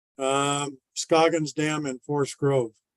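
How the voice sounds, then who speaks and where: The sound is dry and close, with no echo. A man speaks in a Pacific Northwest accent. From Oregon, Washington County. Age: 70s. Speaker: farmer. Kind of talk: public testimony.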